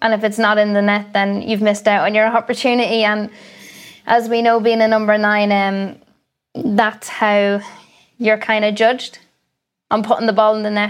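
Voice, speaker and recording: A woman's fairly high voice with an Ulster accent, monotone, flat intonation and a moderate pace. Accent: Irish (Cavan). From Ireland, County Cavan. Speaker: professional footballer. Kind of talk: interview.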